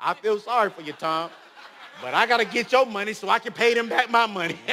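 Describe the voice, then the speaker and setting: Over noticeable background noise, a man with a high pitch speaks very fast in a raised, projected, animated voice, his loudness swinging widely. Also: ordinary pitch variation. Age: 30s. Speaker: motivational speaker. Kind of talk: motivational talk.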